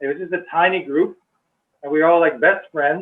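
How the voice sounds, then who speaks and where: A man with a Western Canadian accent talks fairly quickly. His pitch varies in an ordinary way. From Canada, North Delta/Surrey, British Columbia. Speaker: early member of a meditation community. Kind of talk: casual reminiscence on video call.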